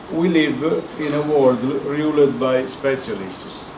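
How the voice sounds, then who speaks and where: In a non-native accent, a man talks with a fairly high pitch and monotone, flat intonation, amid audible room echo and noticeable background noise. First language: Italian. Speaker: professor. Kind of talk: lecture.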